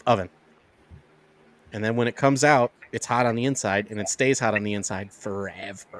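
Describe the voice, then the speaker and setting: An American man talks at a fairly quick pace and a medium pitch, with an American accent. His intonation is fairly even, broken by long, frequent pauses. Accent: can switch Yooper accent on and off. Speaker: podcast guest. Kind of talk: casual chat.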